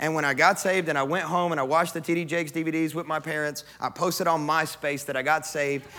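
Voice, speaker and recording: A man with a Kentucky accent speaks at a very fast pace with hardly any pauses. His fairly high pitch stays in a monotone, flat intonation. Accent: Kentucky Southern US. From US South, West Kentucky. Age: 30s. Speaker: pastor. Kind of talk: sermon.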